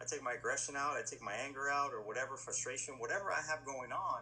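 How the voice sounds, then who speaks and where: Over noticeable background noise, a man talks at a very fast pace in an energetic tone. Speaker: police SWAT officer. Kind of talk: casual interview chat. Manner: loud, energetic.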